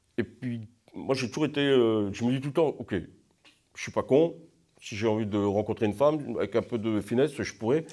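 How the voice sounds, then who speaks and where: In a very clean recording with a silent background, a man of medium pitch talks at a moderate pace with ordinary pitch variation and long, frequent pauses. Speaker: pilgrim. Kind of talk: testimony. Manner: halting.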